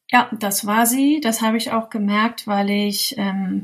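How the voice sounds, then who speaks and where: A woman's somewhat breathy, medium-pitched voice, monotone and flat in intonation, at a fairly slow pace. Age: 30s. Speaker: mother sharing her experience. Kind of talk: interview testimony.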